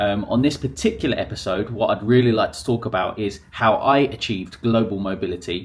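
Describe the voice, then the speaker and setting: The voice is somewhat breathy, in a southern English accent. The pace is fairly quick. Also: man. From southern England, near Brighton. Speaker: English teacher, podcaster. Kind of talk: casual monologue to camera. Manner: conversational, with fillers.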